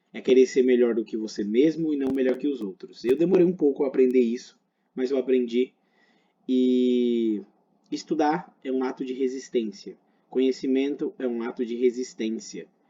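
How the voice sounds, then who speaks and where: A man speaks at a moderate pace in a medium pitch. His tone is dark and mellow. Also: ordinary pitch variation. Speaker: medical teacher. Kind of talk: lecture.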